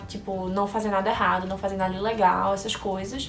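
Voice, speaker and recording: A woman with a Recife accent speaks at a moderate pace, with audible room echo and music in the background. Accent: northeastern Brazilian Portuguese (Recife). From Brazil, Recife (Pernambuco). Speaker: vlogger. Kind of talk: casual chat, answering viewer questions.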